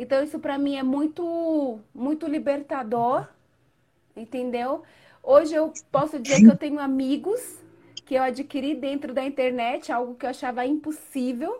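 At a moderate pace, the speech shows fairly even intonation but big swings in loudness. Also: woman, high pitch for a woman. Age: 40s. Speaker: guest learning digital marketing. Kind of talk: casual chat. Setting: live video call.

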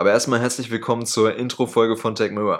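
An ordinary speaking voice moves at a fairly quick pace. The intonation stays fairly even. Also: man. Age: 20s. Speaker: podcast co-host, dual-study student. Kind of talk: scripted podcast intro.

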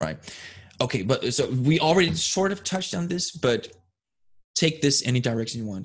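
The intonation is lively and somewhat breathy. Long pauses come often. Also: man, fairly high pitch for a man, fairly quick pace. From Denmark. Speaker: podcast host. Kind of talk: interview. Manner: halting.

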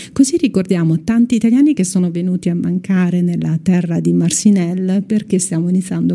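A woman at a fairly low pitch with ordinary pitch variation, over noticeable background noise. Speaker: radio host. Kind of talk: casual chat. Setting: studio.

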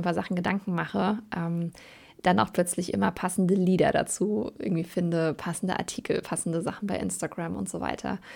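At a fairly quick pace, a woman with a medium pitch and vocal fry speaks with fairly even intonation in a very clean recording with a silent background. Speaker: podcast host and coach. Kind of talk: solo podcast monologue; promotional pitch. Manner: casual, with many filler sounds.

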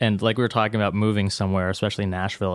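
A man with an American accent speaks very fast at a fairly low pitch in a flat monotone. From US Pacific Northwest, Seattle area. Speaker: guitar pedal builder. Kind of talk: casual interview.

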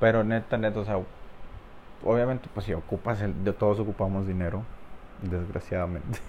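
Speaking at a fairly quick pace with fairly even intonation, a man leaves long, frequent pauses. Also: fairly low pitch for a man. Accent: Mexican. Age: 20s. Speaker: podcaster. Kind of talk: casual monologue.

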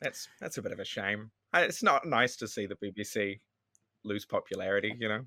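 Recorded very cleanly over a silent background, with a dry, close sound and no echo, a man with a New Zealand accent and a fairly low pitch speaks in a bright, sharp tone at a moderate pace with ordinary pitch variation. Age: 20s. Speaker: comedian. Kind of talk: casual chat.

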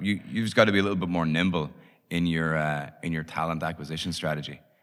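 In a very clean recording with a silent background, a man with a Dublin accent speaks at a very fast pace, his very deep, low pitch paired with a bright, sharp tone and fairly even intonation. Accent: Irish (Dublin). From Ireland, Dublin. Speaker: startup founder and CEO. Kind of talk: interview.

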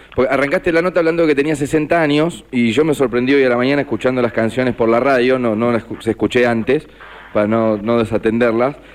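A man in a Rioplatense accent at a very fast pace, with very even loudness and ordinary pitch variation. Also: medium pitch for a man. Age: 60s. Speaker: radio co-host. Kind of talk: radio interview.

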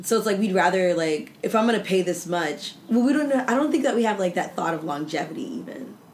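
Over noticeable background noise, a woman with a medium pitch talks very fast, with hardly any pauses and very wide pitch swings. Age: 20s. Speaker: podcast host. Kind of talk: casual chat.

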